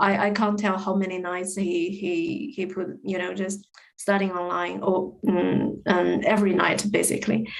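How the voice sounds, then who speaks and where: Someone with a Chinese accent talks at a moderate pace with fairly even intonation. Room echo is audible. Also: woman, medium pitch for a woman. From China. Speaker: podcast guest. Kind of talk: casual interview chat. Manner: hesitant, many fillers and repetitions.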